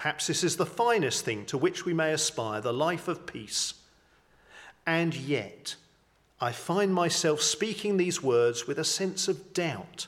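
A man with an English accent and vocal fry, fairly high in pitch, at a fairly slow pace. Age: 50s. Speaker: vicar. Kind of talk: sermon. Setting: church.

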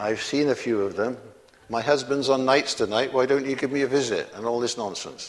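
Moderate-paced speech from a man with a British accent. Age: 70s. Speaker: preacher. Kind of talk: sermon.

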